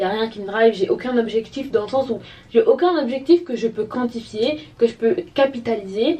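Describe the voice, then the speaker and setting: A woman's high voice at a moderate pace, with lively intonation. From Gabon. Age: 20s. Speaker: lifestyle vlogger. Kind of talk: casual talk to camera.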